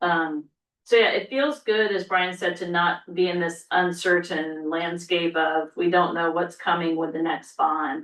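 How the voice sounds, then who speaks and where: A woman talks at a moderate pace with an ordinary speaking voice. Her pitch sits fairly low and varies in an ordinary way. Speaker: school superintendent. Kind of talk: board meeting report.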